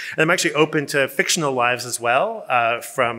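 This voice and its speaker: A man talks with a bright, sharp tone. His pitch varies in an ordinary way. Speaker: presenter. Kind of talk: presentation describing a seminar. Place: hall. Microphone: podium.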